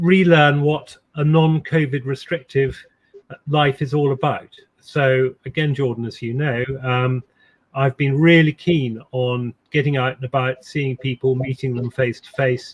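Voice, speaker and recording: A man's medium-pitched, somewhat breathy voice at a fairly slow pace, with fairly even intonation and big swings in loudness. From England, Suffolk (west). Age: 60s. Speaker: ceremonial official and insurance executive. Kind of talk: interview. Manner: halting with fillers and repetitions.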